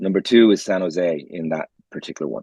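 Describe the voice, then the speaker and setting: With an Irish accent, a man talks in a dark, mellow tone at fairly low pitch with ordinary pitch variation, the sound dry and close with no echo against a quiet background. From Ireland. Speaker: podcast co-host. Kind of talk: casual chat.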